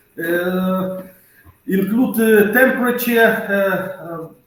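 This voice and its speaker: A man with a high pitch speaks very slowly, his pitch varying in an ordinary way. Audible room echo fills the space. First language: non-English. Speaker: conference presenter. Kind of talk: conference Q&A. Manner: halting.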